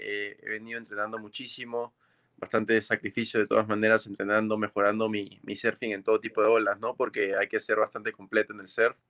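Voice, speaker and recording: A man with a fairly low pitch and a bright, sharp tone speaks at a fairly quick pace. The sound is dry and close, with no echo. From Peru, Máncora (northern coast). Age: 20s. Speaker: professional surfer. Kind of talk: remote interview.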